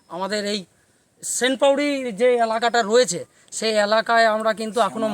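A man's high-pitched voice, fairly even in intonation, in a dry sound with no echo. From West Bengal, near Durgapur; West Bengal. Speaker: local resident; local guide, priest. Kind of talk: interview. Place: forest. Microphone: phone near.

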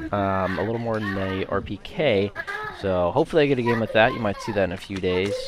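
Very fast speech over noticeable background noise. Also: man. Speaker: gaming YouTuber and streamer. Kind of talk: gameplay commentary and video intro. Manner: casual, filler-heavy; animated, exclamatory during gameplay.

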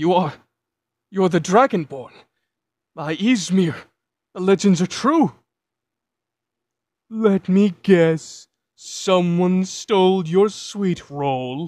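In a very clean recording with a silent background, a middle-pitched voice moves at a very slow pace with long, frequent pauses. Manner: dry, sarcastic.

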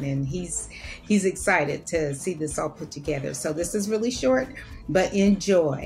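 Over clear background music, a woman with vocal fry speaks at a moderate pace and a fairly low pitch. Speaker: solo cruise vlogger. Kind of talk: casual talk to camera. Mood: admiring, enthusiastic. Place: home room. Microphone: webcam.

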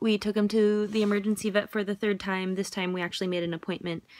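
A woman at a fairly quick pace, dry sound with no echo, quiet background. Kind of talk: casual vlog chat. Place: home room. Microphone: phone near.

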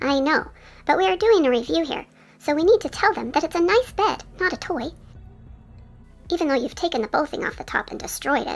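In a put-on character voice, a female-sounding speaker talks at a fairly quick pace, high-pitched and squeaky, with long, frequent pauses. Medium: voice reel. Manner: calm, earnest, slightly prim.

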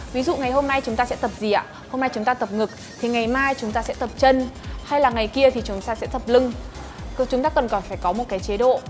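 A woman's high voice at a very fast pace, ordinary pitch variation, and clear music in the background. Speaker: female gym trainer. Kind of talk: tutorial. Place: gym.

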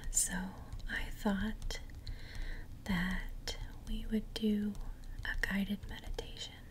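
A woman talks at a very slow pace with long, frequent pauses. Light background noise can be heard. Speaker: ASMR creator. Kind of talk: casual talk to camera. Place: home room. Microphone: earbuds.

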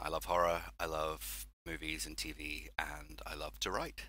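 A man is speaking. He talks with an English accent. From southwest England. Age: 30s. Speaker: horror author. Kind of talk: podcast interview.

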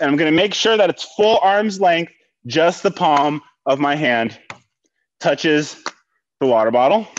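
Light background noise behind a man talking at a moderate pace. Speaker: fitness instructor. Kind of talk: workout instruction. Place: gym.

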